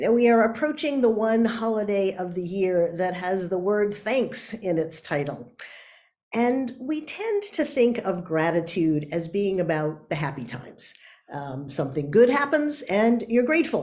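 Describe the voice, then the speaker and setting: A woman at medium pitch speaks with very wide pitch swings. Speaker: author and workshop speaker. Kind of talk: talk.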